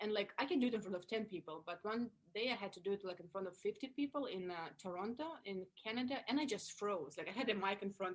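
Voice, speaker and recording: A woman with a Russian accent talks at a very fast pace. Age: 30s. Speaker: actress and comedian. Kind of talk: interview. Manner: animated.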